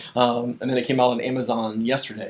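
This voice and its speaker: A man's fairly high-pitched voice. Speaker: pastor and author. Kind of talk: casual chat. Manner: fast.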